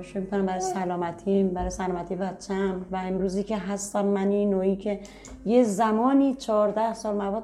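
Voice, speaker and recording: A woman speaks at a moderate pace with a medium pitch and fairly even intonation, over noticeable background noise. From Tehran, Iran. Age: 30s. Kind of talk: personal testimony interview.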